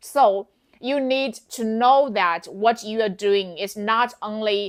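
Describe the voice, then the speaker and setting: On a very clean recording with a silent background, a woman with a Chinese accent speaks at a very slow pace and a fairly high pitch. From China. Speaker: wig seller and sales coach. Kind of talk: tutorial. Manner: animated; halting.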